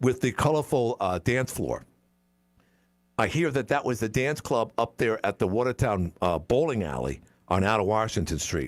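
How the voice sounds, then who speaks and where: A man speaks at medium pitch with lively intonation and vocal fry. His pace is moderate. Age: 60s. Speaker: talk radio host. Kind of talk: call-in talk radio. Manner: halting, repetitive.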